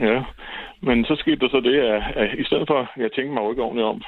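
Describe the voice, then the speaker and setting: He speaks very fast. The voice belongs to a man. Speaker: caller. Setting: phone call.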